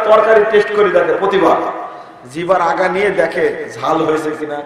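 Amid noticeable background noise and audible room echo, a man speaks with a high pitch. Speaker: Islamic preacher. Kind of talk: sermon. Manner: emphatic, repetitive.

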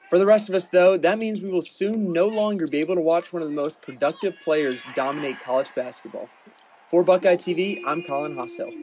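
Music sits in the background as a man talks at a fairly quick pace. His pitch is high with ordinary variation. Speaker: student sports reporter. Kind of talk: news reading.

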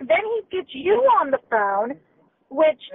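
The speaker is a woman. Her pitch is high. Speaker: customer, caller. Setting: phone, via car Bluetooth. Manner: loud; agitated, indignant.

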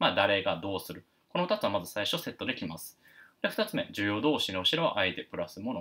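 Very fast speech comes from a man. His volume rises and falls in big swings. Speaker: English teacher. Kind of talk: lecture. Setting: live stream. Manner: halting, many fillers; stiff, formal.

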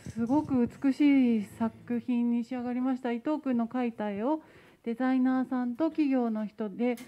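A woman with a high pitch and a dark, mellow tone talks at a moderate pace with fairly even intonation. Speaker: staff member. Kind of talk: report at meeting. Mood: polite, cheerful. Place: hall. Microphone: handheld.

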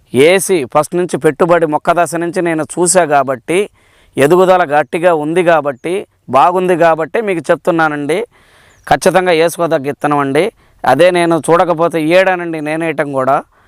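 A high-pitched male voice with fairly even intonation, dry and close with no echo, on a very clean recording with a silent background. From Palnadu district, Andhra Pradesh. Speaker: farmer. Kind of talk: testimonial.

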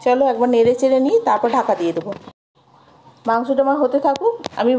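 A fairly high-pitched woman's voice, dark and mellow in tone, at a fast pace with ordinary pitch variation

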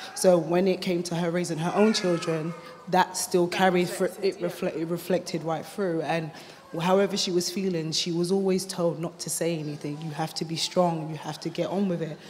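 A woman with a British accent, fairly low in pitch, in a monotone, flat intonation over light background noise. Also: moderate pace. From UK, Ghanaian family. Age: 20s. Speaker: mother sharing experience. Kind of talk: testimony. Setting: stage with audience. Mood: earnest, reflective. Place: hall. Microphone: handheld.

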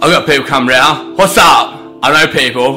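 Over clear background music, a man speaks. His pace is fairly slow. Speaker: vlogger. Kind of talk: casual vlog chat.

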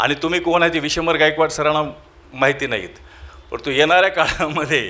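The man's speech shows ordinary pitch variation. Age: 50s. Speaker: event organizer and college lecturer. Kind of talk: presidential closing speech. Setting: auditorium with audience.

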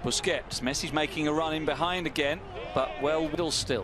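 Amid noticeable background noise, a man speaks at a moderate pace in a fairly high pitch. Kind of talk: live football commentary. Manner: analytical, rattling off names and replays.

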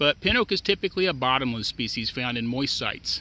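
A man with an American accent speaks at a fairly quick pace with lively intonation. His tone is bright and sharp, and the sound is dry with no echo. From US Midwest. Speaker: extension forester. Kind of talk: educational tutorial. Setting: outdoors. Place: open country.

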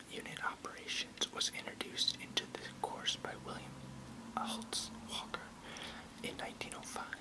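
Loud background noise surrounds speech delivered at a moderate tempo. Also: man. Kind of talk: reading aloud an encyclopedic text. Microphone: webcam.

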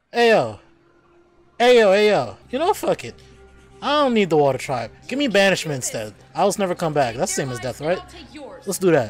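A moderate pace with long, frequent pauses, a dry sound with no echo and faint music in the background. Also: man. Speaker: reaction commentator. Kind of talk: casual reaction commentary. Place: home room.

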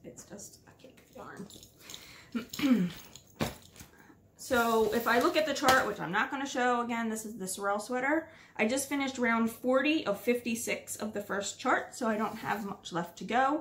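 Over noticeable background noise, a woman talks at a moderate pace with long, frequent pauses, ordinary pitch variation and big swings in loudness. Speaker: knitting podcaster. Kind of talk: casual chat. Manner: casual, filler-heavy. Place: home room.

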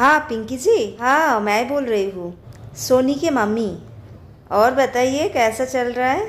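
The voice belongs to a woman. She talks at a very slow pace. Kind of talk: acted domestic skit dialogue. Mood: warm, chatty. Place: home room. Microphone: phone near.

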